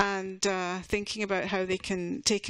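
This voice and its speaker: A woman with a Scottish accent speaks at a moderate pace in a medium pitch with monotone, flat intonation, in a very clean recording with a silent background. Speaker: university association representative. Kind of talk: conference presentation. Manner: halting, many fillers and restarts.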